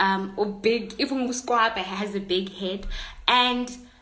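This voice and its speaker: A woman with a fairly high voice speaks at a fairly slow pace amid audible room echo and noticeable background noise. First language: a South African Bantu language. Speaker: online content creator. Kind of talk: casual livestream chat. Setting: Instagram live stream. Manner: halting.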